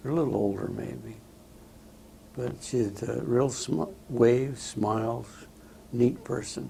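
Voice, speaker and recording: With audible room echo, a man of medium pitch speaks at a very slow pace, his voice swinging very widely in pitch between long, frequent pauses. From Southern California. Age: 80s+. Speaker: war veteran. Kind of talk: oral history interview. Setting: veterans home interview. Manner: halting, many fillers.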